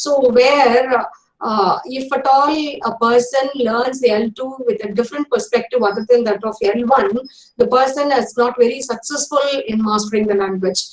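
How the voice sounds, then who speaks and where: A woman's high voice with an Indian accent, ordinary pitch variation and a moderate pace. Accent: Indian English (Tamil). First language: Tamil. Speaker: English professor. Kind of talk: lecture. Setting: online webinar. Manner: hesitant, many fillers.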